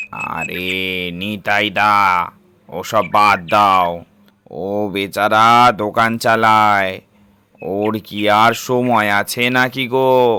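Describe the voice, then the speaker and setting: Using a cartoonish character voice, a man speaks very slowly at a fairly low pitch with fairly even intonation. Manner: deferential, friendly.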